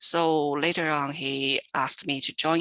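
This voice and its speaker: A woman with a Chinese accent and a bright, sharp tone, at a very slow pace with fairly even intonation, in a dry, close sound with no echo against a quiet background. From China. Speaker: literary translator. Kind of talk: panel Q&A answer.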